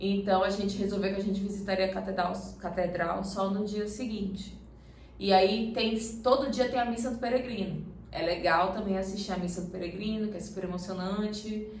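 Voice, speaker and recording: Against noticeable background noise and audible room echo, a woman speaks at a medium pitch and moderate pace with fairly even intonation. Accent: Pará. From Brazil, Belém do Pará. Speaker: travel vlogger, pilgrim. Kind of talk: casual Q&A chat.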